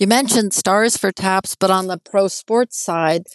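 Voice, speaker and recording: A woman with an ordinary speaking voice, medium pitch, ordinary pitch variation, and a fairly slow pace, over a quiet background. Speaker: nonprofit founder and military veteran. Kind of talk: interview.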